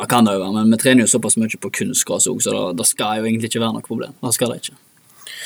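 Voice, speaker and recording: Barely pausing, a man rattles along at a very fast pace in a medium pitch with monotone, flat intonation. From Norway, Bømlo (Hordaland). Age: 20s. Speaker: professional footballer. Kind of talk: interview. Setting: studio.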